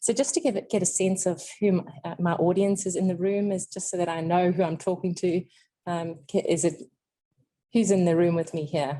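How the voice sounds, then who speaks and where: A woman with a South African accent speaks at a fairly quick pace and fairly low pitch. Her tone is dark and mellow, her intonation fairly even. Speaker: clinical nutritionist. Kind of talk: lecture. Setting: seminar room with audience and webinar.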